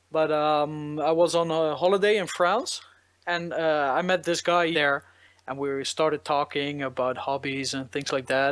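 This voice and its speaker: A man with a Dutch accent talks at a fairly high pitch. His pace is fairly slow and his intonation fairly even. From Netherlands, south near Eindhoven. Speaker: electronic musician. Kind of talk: interview. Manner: hesitant, many fillers.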